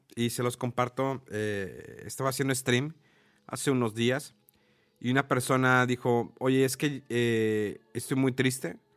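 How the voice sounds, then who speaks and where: In a very clean recording with a silent background, a man talks very slowly at medium pitch. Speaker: podcast host. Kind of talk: casual chat.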